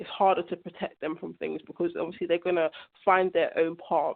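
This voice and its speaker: A woman speaks with a London accent at a moderate pace. Her pitch sits in the medium range. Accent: London English, multicultural London. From South London. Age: 20s. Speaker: young mother. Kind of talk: interview. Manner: conversational, uses 'like' often.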